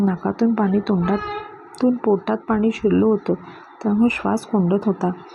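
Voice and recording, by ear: Pitch shifts in an ordinary way throughout. Someone reads aloud in a natural voice.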